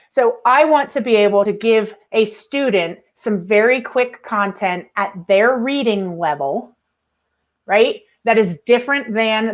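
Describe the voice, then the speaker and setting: A woman speaks in a plain, everyday voice at a fairly high pitch. Her pace is moderate and her pitch varies in an ordinary way. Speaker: educational technology presenter. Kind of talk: webinar tutorial.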